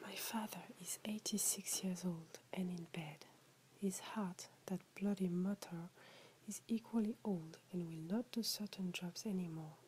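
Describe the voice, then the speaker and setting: Soft-spoken and somewhat breathy, a woman with a French accent talks fairly slowly in a dark, mellow tone at a medium pitch, her intonation fairly even. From France. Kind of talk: short story reading. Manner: relaxing, soft.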